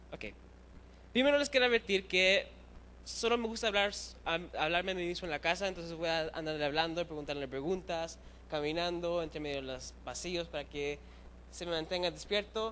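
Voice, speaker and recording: A man talks at a fairly quick pace with a high pitch. His tone is bright and sharp. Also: ordinary pitch variation. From Chile, raised in Chicago among Puerto Ricans. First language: bilingual with English, weaker Spanish (speaking Spanish). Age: 20s. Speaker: youth preacher. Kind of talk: sermon. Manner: fast; halting, with fillers.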